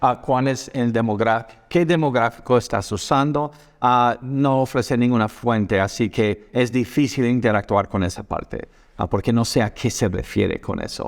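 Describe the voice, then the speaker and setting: A man speaks at a medium pitch with a non-native accent. His pitch varies in an ordinary way, and his pace is moderate. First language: not Spanish (speaking Spanish). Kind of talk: video reaction commentary. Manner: halting, many fillers.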